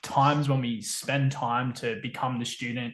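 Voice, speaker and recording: Speech comes at a fairly slow pace in an Australian accent. The intonation stays fairly even. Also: man. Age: 30s. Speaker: permaculture educator and engineer. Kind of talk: podcast interview.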